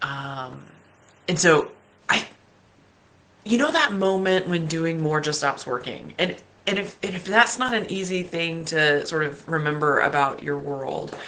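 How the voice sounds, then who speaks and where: Noticeable background noise surrounds a woman with a fairly low pitch. She speaks at a fairly slow pace with long, frequent pauses. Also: ordinary pitch variation. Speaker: life coach. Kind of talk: motivational talk.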